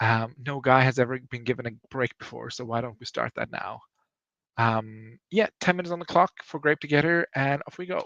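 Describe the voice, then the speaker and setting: A man with a non-native accent, medium in pitch and moderate in pace, in a bright, sharp tone with big swings in loudness, the sound dry and close with no echo. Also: ordinary pitch variation. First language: not English. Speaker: livestream host. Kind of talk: casual livestream chat. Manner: casual, rambling.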